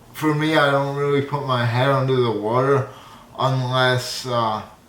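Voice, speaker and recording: In audible room echo, a man with a fairly high pitch speaks at a fairly slow pace with fairly even intonation. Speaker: YouTuber. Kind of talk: casual vlog monologue. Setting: studio.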